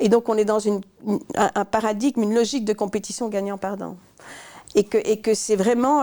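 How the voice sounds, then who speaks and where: A woman talks in a dark, mellow tone at a fairly high pitch. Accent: Belgian. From Belgium. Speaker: management consultant. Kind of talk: interview. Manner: halting, many repetitions.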